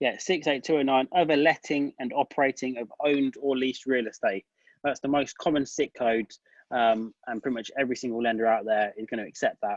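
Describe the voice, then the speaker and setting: Here a man speaks with a British accent at medium pitch and with fairly even intonation. The sound is dry and close, with no echo. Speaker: tax advisor. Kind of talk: webinar Q&A. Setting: online webinar. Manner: fast.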